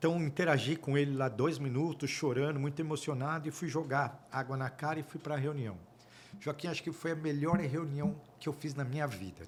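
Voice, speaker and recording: The speaker's somewhat breathy voice moves at a fairly quick pace with ordinary pitch variation. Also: man. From Brazil. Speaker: auditor and accounting firm partner. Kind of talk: podcast interview storytelling.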